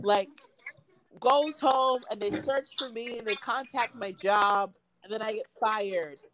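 A plain, everyday voice from a woman, fairly high in pitch, with ordinary pitch variation and a fairly slow pace. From New Jersey, small town. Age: 30s. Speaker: comedian. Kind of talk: casual chat.

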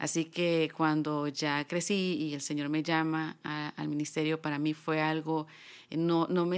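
Her very deep, low voice keeps a fairly even intonation on a very clean recording with a silent background. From Honduras, San Pedro Sula. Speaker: gospel singer. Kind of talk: testimony.

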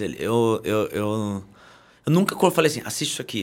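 A man talks in an unremarkable speaking voice with lively intonation. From Brazil, Taubaté (São Paulo state). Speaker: children's content creator. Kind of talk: casual chat.

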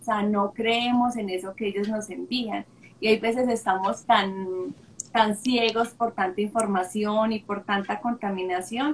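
An ordinary speaking voice from a woman, fairly high in pitch, with fairly even intonation and a fairly slow pace. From Colombia, Sonsón, Antioquia. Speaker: spiritual guide and communicator. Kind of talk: casual spiritual chat. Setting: Instagram live video stream. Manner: warm and gentle.

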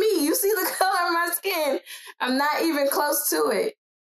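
With an American accent, a woman speaks at an extremely high pitch and a fairly slow pace. Her pitch swings very widely. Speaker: podcast host and writer. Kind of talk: casual panel discussion.

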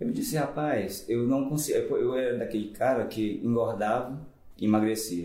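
The loudness stays very even with ordinary pitch variation, while noticeable background noise and audible room echo fill the recording. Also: man, medium pitch for a man, moderate pace. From Manaus, Brazil. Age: 40s. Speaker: fitness program participant. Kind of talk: casual chat. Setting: office.

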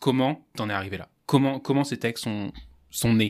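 A man talks at a medium pitch with ordinary variation, recorded very cleanly against a silent background. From France, Strasbourg (Alsace). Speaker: podcast host. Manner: hesitant, many fillers.

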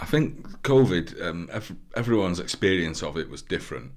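A man with a Mancunian accent, moderate pace, vocal fry and ordinary pitch variation. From Manchester, northern England. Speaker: former nurse and community volunteer organiser. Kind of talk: interview testimony. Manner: casual with frequent hesitations.

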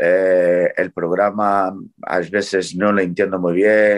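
In a quiet background, a man with a Portuguese accent speaks in a very deep, low pitch. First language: Portuguese (speaking Spanish). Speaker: racehorse trainer. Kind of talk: casual chat.

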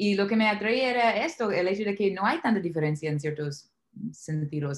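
A medium-pitched woman in an English accent, with ordinary pitch variation. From US South, Nashville. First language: English (speaking Spanish). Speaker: singer. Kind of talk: interview.

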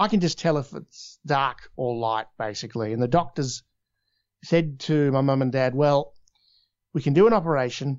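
Using an ordinary speaking voice, a man talks fairly high in pitch, his delivery moderate in pace and his pitch varying in an ordinary way. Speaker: voiceover artist. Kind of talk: casual interview chat. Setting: video call.

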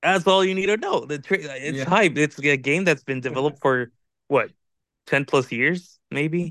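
Against a quiet background, a man with a fairly high pitch speaks at a moderate pace in a bright, sharp tone with ordinary pitch variation. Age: 20s. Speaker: podcast host. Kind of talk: casual chat. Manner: halting.

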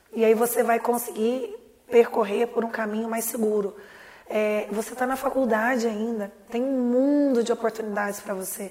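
Amid noticeable background noise, a woman with a fairly high pitch speaks at a moderate pace in a monotone, flat way. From Minas Gerais, Brazil (Lavras). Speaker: startup founder and CEO. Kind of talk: interview.

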